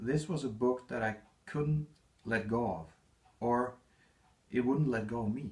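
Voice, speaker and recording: At a moderate pace, a man with a non-native accent talks at medium pitch with ordinary pitch variation. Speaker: author. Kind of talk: reading aloud. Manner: halting.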